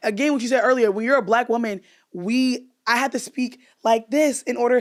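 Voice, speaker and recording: Loud and animated, a woman speaks at a high pitch and a fairly quick pace. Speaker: podcast host and comedian. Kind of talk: casual chat.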